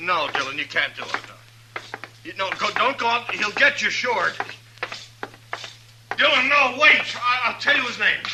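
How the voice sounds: In a put-on character voice, a man speaks at a high pitch and a moderate pace, with a bright, sharp tone, a slightly husky edge, lively intonation and long, frequent pauses.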